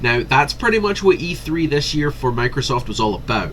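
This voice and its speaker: A man talks at a fairly quick pace with lively intonation. Noticeable background noise is present. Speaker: gaming commentator. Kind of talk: casual commentary. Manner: animated.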